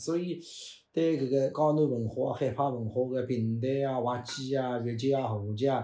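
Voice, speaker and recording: In audible room echo, a man with a medium-pitched, dark, mellow voice speaks at a moderate pace with fairly even intonation. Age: 50s. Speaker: pingtan storytelling performer. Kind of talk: casual interview chat.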